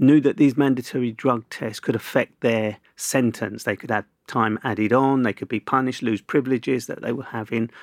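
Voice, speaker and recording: A man with a South London accent speaks at medium pitch and a fairly quick pace, with fairly even intonation and hardly any pauses, in a very clean, dry, close recording with no echo and a silent background. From Southeast London (Camberwell). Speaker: journalist and broadcaster. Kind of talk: casual interview.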